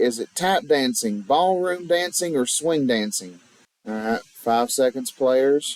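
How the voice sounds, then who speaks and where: A man talks at a fairly high pitch with very wide pitch swings. His pace is very slow. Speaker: game show host. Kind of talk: game show host announcing questions.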